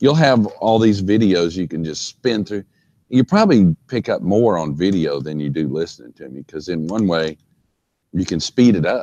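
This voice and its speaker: A man with a very deep, low voice speaks in a dark, mellow tone. His intonation is lively, and his loudness swings widely. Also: dry, close sound with no echo. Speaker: engineering instructor. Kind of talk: lecture. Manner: slow.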